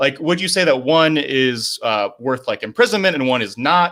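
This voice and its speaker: Lively in intonation, a man talks at a fairly quick pace. His tone is bright and sharp. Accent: American. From rural Indiana, US Midwest. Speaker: podcast guest. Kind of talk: casual debate. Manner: fast; rambling, many fillers.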